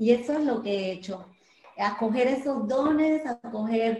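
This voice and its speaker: A woman with a fairly high pitch at a very slow pace. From Colombia, Medellín. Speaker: church volunteer giving testimony. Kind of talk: testimony.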